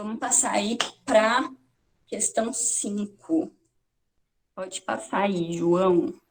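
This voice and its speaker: Somewhat breathy and at a medium pitch, a woman speaks at a very slow pace with lively intonation and long, frequent pauses. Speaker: teacher. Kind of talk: lecture. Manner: halting.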